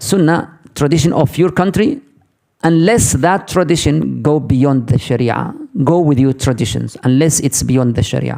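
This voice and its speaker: In an Arabic accent, the speaker talks at a moderate pace with a dark, mellow tone, very even loudness and ordinary pitch variation. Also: man, fairly high pitch for a man. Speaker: Islamic teacher. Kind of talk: lecture with Q&A.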